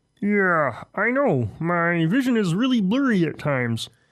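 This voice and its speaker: A man's put-on character voice, high in pitch, with very wide pitch swings, very even loudness, a moderate pace and a very clean recording with a silent background. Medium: comedy sketch. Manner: casual, friendly.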